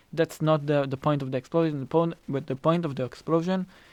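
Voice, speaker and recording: A man with a non-native accent, fairly high-pitched, fairly quick, and with fairly even intonation. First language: not English. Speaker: film director. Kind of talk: casual chat. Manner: halting, many repeated words.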